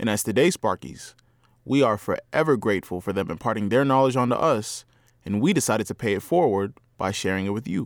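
A man with a plain, everyday voice talks at a fairly quick pace and medium pitch with lively intonation. The sound is dry and close with no echo, in a very clean recording with a silent background. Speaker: student radio presenter. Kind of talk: scripted narration.

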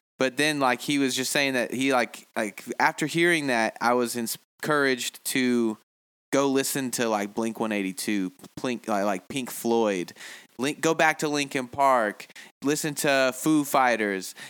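A plain, everyday voice belongs to a man with an American accent, a medium pitch, ordinary pitch variation and a fairly slow pace. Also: very clean recording, silent background. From United States. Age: 20s. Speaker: musician and producer. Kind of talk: casual interview.

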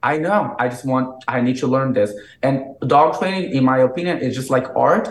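A man talks with a Brazilian accent at a moderate pace. His pitch is medium, with ordinary variation. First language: Portuguese. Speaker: dog trainer. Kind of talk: interview.

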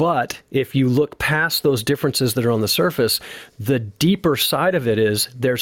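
Recorded dry and close with no echo and a silent, very clean background, a man with a plain, everyday voice speaks at a moderate pace in a fairly high pitch with ordinary pitch variation. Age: 50s. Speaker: retired police sergeant and drummer. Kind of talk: casual interview.

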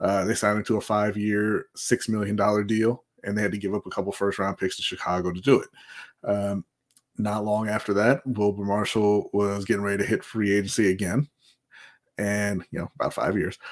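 The man's pitch is fairly low and his intonation monotone and flat. He talks at a fairly quick pace. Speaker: co-host. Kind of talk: casual live-stream sports chat. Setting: live stream with chat.

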